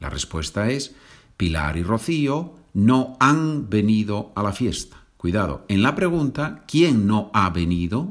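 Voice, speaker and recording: On a very clean recording with a silent background, a man with a fairly low pitch speaks at a very slow pace, his voice making very wide pitch swings. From Asturias, northern Spain. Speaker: Spanish teacher. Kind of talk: language lesson.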